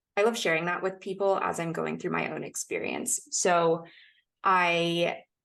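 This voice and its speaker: Against a quiet background, a woman speaks with vocal fry at a moderate pace. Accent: American. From United States. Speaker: podcast guest sharing sobriety story. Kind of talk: casual interview chat.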